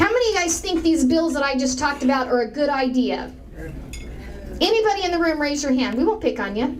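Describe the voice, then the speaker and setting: A woman talks very fast at a high pitch, her intonation lively. Audible room echo and noticeable background noise surround her. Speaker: political speaker. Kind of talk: speech to an audience. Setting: room with audience.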